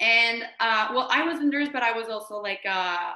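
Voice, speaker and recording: In a strong French Canadian accent, the speaker talks at a fairly slow pace with a bright, sharp tone and audible room echo. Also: woman. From Quebec, Canada. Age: 30s. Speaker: direct sales team leader. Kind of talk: online training presentation. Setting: video call. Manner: halting.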